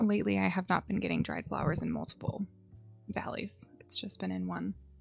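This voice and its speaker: A woman speaks at a fairly quick pace while music plays in the background. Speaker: gaming streamer. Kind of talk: casual live stream gameplay chat.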